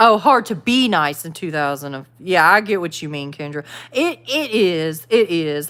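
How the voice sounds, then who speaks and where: In a Southern US accent, a woman talks at a fairly slow pace with a bright, sharp tone. Her pitch swings very widely. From the Carolinas, US South. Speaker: YouTuber, livestream host. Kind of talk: casual livestream chat reading viewer comments. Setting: live stream. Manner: casual, conversational.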